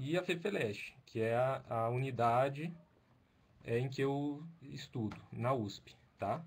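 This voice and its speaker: A man speaks in a somewhat breathy voice at medium pitch, with ordinary pitch variation and very even loudness. His pace is very slow, and audible room echo surrounds him. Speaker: doctoral researcher and Italian lecturer. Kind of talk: lecture. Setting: video call. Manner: halting.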